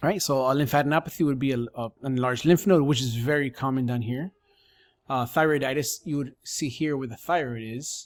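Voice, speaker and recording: The man talks at a fairly quick pace. His pitch varies in an ordinary way. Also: fairly high pitch for a man, very clean recording, silent background. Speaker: sonography educator. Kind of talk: tutorial. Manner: fast.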